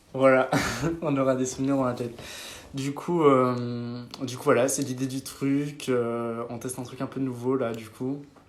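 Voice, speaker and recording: Amid audible room echo, a man speaks at medium pitch in a monotone, flat delivery. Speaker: social media influencer. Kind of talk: casual chat. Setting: live stream with friends. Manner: fast.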